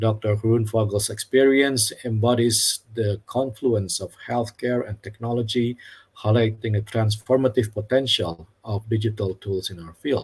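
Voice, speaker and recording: A man with a non-native accent talks at a moderate pace with hardly any pauses, his somewhat breathy voice holding fairly even intonation while its loudness swings widely. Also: medium pitch for a man. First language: not English. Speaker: academic program representative, webinar moderator. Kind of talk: formal opening remarks for webinar. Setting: online webinar. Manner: formal.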